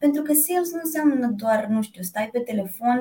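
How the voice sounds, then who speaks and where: A woman's dark, mellow tone, somewhat breathy, with lively intonation at a moderate pace. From Romania, Piatra Neamț (Moldavia region). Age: 30s. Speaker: corporate sales director. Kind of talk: interview. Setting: video call.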